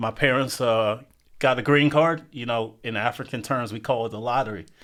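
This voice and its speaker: A Southern US accent at a moderate pace with fairly even intonation, on a very clean recording with a silent background. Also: man, medium pitch for a man. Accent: Southern US (Georgia). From US South, Athens, Georgia. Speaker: podcast co-host. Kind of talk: casual chat.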